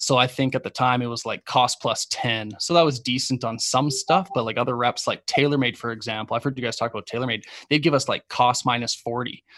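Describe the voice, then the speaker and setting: Over a quiet background, a man with a Canadian accent uses a normal speaking voice at a medium pitch and a fairly quick pace, with fairly even intonation, hardly any pauses and a dry, close sound with no echo. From Calgary, Canada. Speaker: golf podcast host and brand founder. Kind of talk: casual interview chat.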